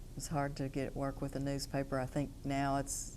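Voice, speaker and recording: In an Appalachian accent, a woman speaks fairly slowly with a dark, mellow tone and a very deep, low pitch. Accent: Appalachian Kentucky. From Eastern Kentucky, Hazard. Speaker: attorney. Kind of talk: interview testimony. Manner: hesitant, many fillers.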